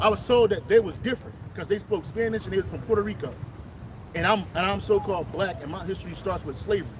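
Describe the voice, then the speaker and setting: A man talks very fast in a high voice with lively intonation. His volume rises and falls sharply. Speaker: street preacher. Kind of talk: religious street teaching. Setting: outdoors. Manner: loud.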